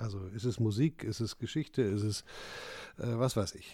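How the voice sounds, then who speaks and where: At a moderate pace, a man speaks with a medium pitch, ordinary pitch variation and a dark, mellow tone. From northern Germany, North Sea coast. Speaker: entrepreneur and investor. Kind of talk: casual interview.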